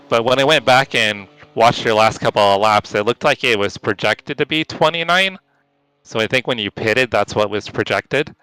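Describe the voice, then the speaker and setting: A man speaks quietly at a fairly quick pace, with medium pitch and lively intonation. His tone is bright and sharp, and the sound is dry and close with no echo. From California. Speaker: sim racing streamer. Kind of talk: casual chat during live gameplay. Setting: voice chat on Discord.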